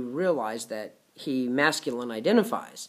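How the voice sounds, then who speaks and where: A man's voice with very wide pitch swings. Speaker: vlogger running a retreat. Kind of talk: casual vlog talk. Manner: goes high when excited; hesitant, many fillers.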